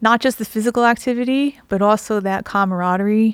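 Recorded very cleanly with a silent background, a woman speaks in a plain, everyday voice at a moderate pace. Her intonation is fairly even, and the sound is dry and close with no echo. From New Jersey. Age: 50s. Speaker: nutrition health coach. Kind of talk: interview.

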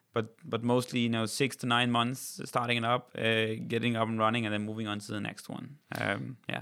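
Someone with a Danish accent speaks in a monotone, flat intonation with hardly any pauses. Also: man, medium pitch for a man, fairly quick pace. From Denmark. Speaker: company CEO. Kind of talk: interview.

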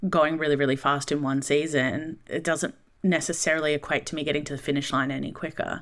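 A woman's very deep, low voice with a bright, sharp tone, monotone, flat intonation and an Australian accent, on a very clean recording with a silent background. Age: 30s. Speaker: speaker and content creator. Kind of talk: casual interview. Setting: studio.

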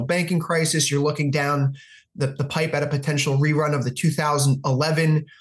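Over a quiet background, a man talks at a very fast pace in a fairly high pitch, somewhat breathy, with monotone, flat intonation. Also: very even loudness. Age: 30s. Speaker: futures and forex analyst. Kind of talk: interview.

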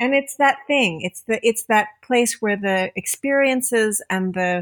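On a very clean recording with a silent background, a woman with a plain, everyday voice speaks at a fairly slow pace and a fairly high pitch. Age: 50s. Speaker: filmmaker, writer and educator. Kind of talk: casual chat.

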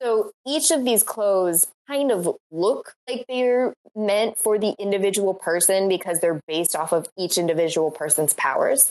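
Using a normal speaking voice, a woman of medium pitch talks at a moderate pace with lively intonation, very even loudness and hardly any pauses. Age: 20s. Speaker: academic co-host. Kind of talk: casual chat.

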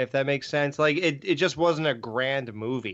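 In a normal speaking voice, a man talks at a fairly high pitch with lively intonation. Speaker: podcaster. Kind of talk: casual chat.

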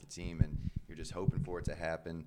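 A man is speaking here. His pace is fairly quick. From Indiana, US Midwest. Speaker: professional soccer goalkeeper. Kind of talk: casual interview.

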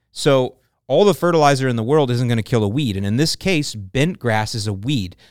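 In an American accent, a man speaks with a normal speaking voice at medium pitch, with lively intonation and a fairly quick pace. The recording is very clean with a silent background. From US South, St. Petersburg, Florida. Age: 50s. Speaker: lawn care podcast host. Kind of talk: casual Q&A chat.

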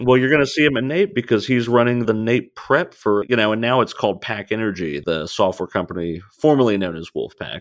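This man has an unremarkable speaking voice of medium pitch, with lively intonation at a fairly quick pace. The recording is very clean, with a silent background. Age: 30s. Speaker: oil and gas sales executive. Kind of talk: casual interview.

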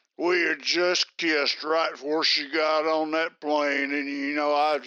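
At a fairly slow pace and very even loudness, a man with a Southern US accent speaks in a monotone, flat intonation with a fairly high pitch. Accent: Southern American drawl. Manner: boastful, leering, bossy.

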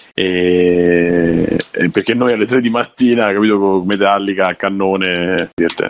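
A man speaks in a very deep, low pitch. Noticeable background noise runs underneath. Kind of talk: casual chat.

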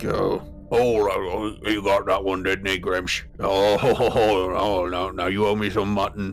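A booming, put-on character voice goes along at a very slow pace over clear background noise. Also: man, fairly low pitch for a man. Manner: cheering, laughing.

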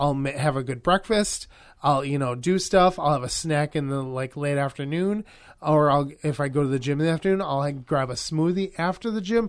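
In an American accent, a man uses an ordinary speaking voice at fairly high pitch with ordinary pitch variation. The recording is very clean, with a silent background. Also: fairly quick pace. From Wisconsin, US. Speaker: podcast co-host. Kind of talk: casual chat; event announcements.

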